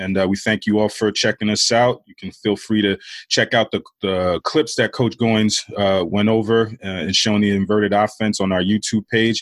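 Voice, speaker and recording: In a New York accent, the speaker delivers monotone, flat intonation at a moderate pace, with a dry, close sound with no echo on a very clean recording with a silent background. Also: man, fairly low pitch for a man. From Queens, New York. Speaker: basketball coach. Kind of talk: casual chat.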